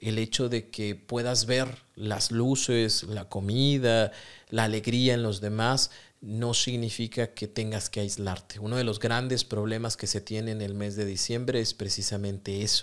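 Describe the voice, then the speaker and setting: A man with a Mexican accent, fairly slow and in a monotone, flat intonation, over a quiet background. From Mexico. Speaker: psychotherapist podcast host. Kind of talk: solo podcast monologue on self-help. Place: studio. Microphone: studio mic.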